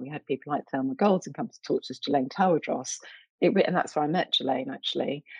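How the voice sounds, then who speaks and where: With a London accent, a woman talks with lively intonation in a dry, close sound with no echo. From East London, England. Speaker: arts director and curator. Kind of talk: interview.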